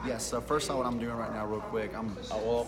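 A man rattles along at a very fast pace with loud background noise behind him. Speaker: shoe salesman. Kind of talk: in-store sales explanation. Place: shop. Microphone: phone near.

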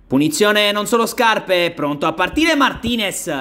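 A man with a high pitch uses a raised, projected voice at a moderate pace, his pitch swinging very widely. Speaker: sports commentator. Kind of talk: live sports commentary. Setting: five-a-side pitch.

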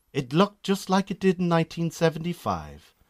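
Very wide pitch swings mark this voice with a Northern Irish accent. The tone is slightly mellow, and the pace is moderate. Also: man, fairly high pitch for a man.

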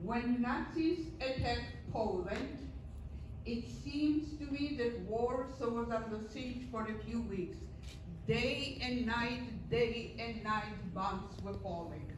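Over noticeable background noise and audible room echo, a woman talks at a very slow pace with ordinary pitch variation. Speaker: guest lecturer sharing life story. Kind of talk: lecture. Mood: earnest, solemn.

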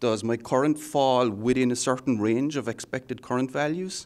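Over a quiet background, a man with a medium-pitched voice talks in an Irish accent. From Ireland. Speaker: software architect. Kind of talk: technical interview. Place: meeting room. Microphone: handheld.

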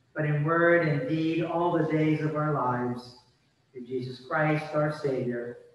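A man speaks at a fairly slow pace with fairly even intonation. Strong room echo surrounds his voice. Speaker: minister leading worship. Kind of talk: liturgical prayer. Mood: solemn, calm. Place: church. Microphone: podium.

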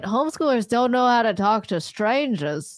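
A plain, everyday voice: a woman at a moderate pace, fairly high in pitch with lively intonation, dry with no echo over a quiet background. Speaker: livestream host. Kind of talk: casual livestream talk about critical thinking. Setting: online livestream. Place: studio. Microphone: studio mic.

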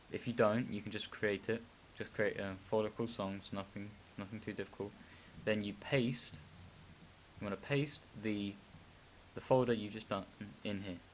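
A man speaks in a fairly low pitch at a moderate pace. His intonation stays fairly even, broken by long, frequent pauses. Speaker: tutorial maker. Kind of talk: screen-recorded software tutorial. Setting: screen recording with desktop mic. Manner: hesitant, many filler words.

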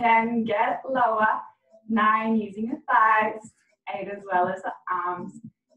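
A woman at a fairly high pitch and a very slow pace, with fairly even intonation, audible room echo and a quiet background. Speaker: fitness instructor. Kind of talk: guided workout class. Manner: encouraging. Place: home room. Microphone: camera far.

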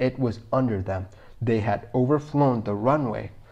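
A man's plain, everyday voice at a medium pitch, with ordinary pitch variation. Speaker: video narrator. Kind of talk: scripted documentary narration of an air disaster. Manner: measured, even, matter-of-fact; clear, explanatory.

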